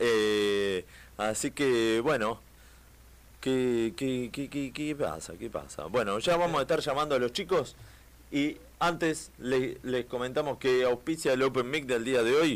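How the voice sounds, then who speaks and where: At a very slow pace, a man speaks with a medium pitch and ordinary pitch variation. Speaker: radio host. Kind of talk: casual chat. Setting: studio.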